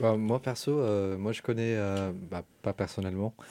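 In a very clean recording with a silent background, a man speaks in a dark, mellow tone with fairly even intonation. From Germany. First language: German (speaking French). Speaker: architecture student. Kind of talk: radio interview. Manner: halting.

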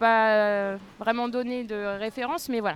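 At a fairly slow pace, a normal speaking voice carries fairly even intonation. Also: woman. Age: 30s. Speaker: school administration secretary. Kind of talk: interview. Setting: outdoors on a café terrace.

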